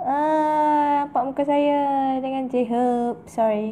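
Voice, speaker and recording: A woman speaks with a Kedah accent in a dark, mellow tone. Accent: northern Malay (Kedah) dialect. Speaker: beauty youtuber. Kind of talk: product review. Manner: casual, chatty.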